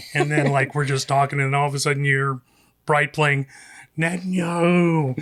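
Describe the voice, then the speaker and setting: A man speaks with a slight Southern accent. His pitch is fairly high. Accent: slight southern drawl. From US South, South Carolina. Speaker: radio producer and filmmaker. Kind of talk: casual chat.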